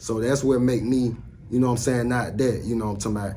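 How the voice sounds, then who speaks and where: A medium-pitched man with an American accent and fairly even intonation, amid audible room echo and noticeable background noise. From US South, Alabama (Citronelle, north of Mobile). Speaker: rapper. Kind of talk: casual interview.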